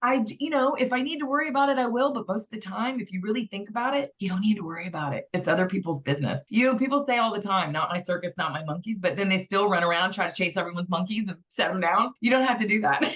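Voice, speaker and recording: With noticeable background noise, a woman at medium pitch talks at a very fast pace with hardly any pauses, an animated tone and lively intonation. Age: 50s. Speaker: interviewee sharing weight loss story. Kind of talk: interview testimony.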